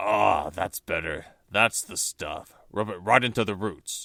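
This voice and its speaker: A man uses a raspy, put-on character voice at a fairly low pitch and fairly slow pace. The recording is very clean, with a silent background. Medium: read story. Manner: loud, blustering, bossy.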